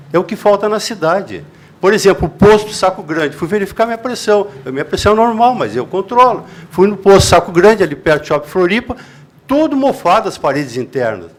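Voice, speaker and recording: A man talks at a fairly quick pace in a high pitch. His intonation is lively. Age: 70s. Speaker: citizen speaking at public meeting. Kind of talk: public meeting comment.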